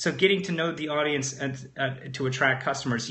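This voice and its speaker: Audible room echo carries a man's animated tone. He talks at a fairly quick pace with lively intonation. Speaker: webinar trainer / online marketer. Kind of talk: live webinar presentation. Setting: live stream. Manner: fast; animated, conversational with fillers.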